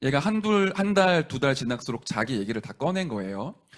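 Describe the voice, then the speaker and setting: This man talks at a moderate pace, his pitch swinging very widely up and down. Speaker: pastor. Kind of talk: sermon. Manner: gentle, non-pushy.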